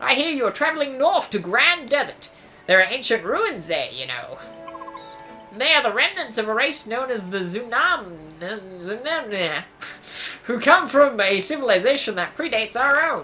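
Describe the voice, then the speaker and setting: Over clear music in the background, a put-on character voice at a fairly high pitch moves at a moderate pace. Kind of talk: reading game dialogue. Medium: actual play. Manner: polite, formal.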